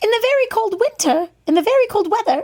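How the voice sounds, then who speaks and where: This is a squeaky, put-on character voice. It races along at a very fast pace. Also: woman, extremely high pitch for a woman. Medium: read story.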